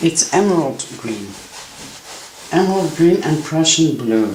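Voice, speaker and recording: Someone with a Belgian accent speaks at a fairly slow pace against noticeable background noise. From Belgium. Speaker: painting teacher. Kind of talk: tutorial. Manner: halting.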